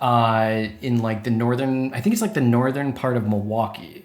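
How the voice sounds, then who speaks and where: A man with a medium-pitched voice and an American accent, with audible room echo. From Wisconsin. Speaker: podcast host. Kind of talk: casual chat.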